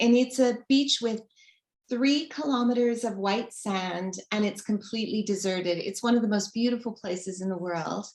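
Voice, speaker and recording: A woman with a Canadian accent speaks at a moderate pace. Her pitch is fairly high, in an unremarkable speaking voice. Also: ordinary pitch variation. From Canada. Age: 50s. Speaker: author. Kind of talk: interview.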